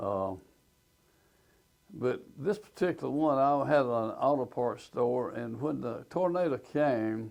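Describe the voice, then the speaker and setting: A man with a medium-pitched voice and an Alabama accent speaks very slowly with lively intonation, pausing long and often against a quiet background. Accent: Alabama Southern US. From US South. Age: 80s+. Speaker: business owner. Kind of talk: personal testimony.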